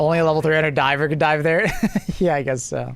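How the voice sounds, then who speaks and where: He talks at a very fast pace. The man's pitch is fairly high. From Canada. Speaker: gaming livestreamer. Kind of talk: casual chat. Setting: live stream. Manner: animated.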